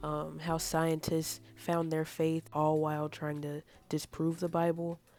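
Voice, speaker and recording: Music plays in the background as a woman speaks at a moderate pace. Her pitch is very deep and low, her intonation monotone and flat. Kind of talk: casual talk to camera, faith testimony. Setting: earbud microphone. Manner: casual, conversational.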